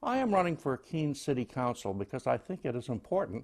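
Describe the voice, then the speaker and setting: A man with a plain, everyday voice at medium pitch, lively intonation and a fairly quick pace, against a quiet background. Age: 60s. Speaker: city council candidate. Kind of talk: campaign statement. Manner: formal.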